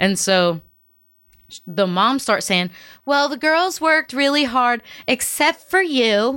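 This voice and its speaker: A woman speaks very slowly in a raised, projected voice, high-pitched with very wide pitch swings, a bright, sharp tone and very even loudness, on a very clean recording with a silent background. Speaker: singer-songwriter. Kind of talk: casual chat.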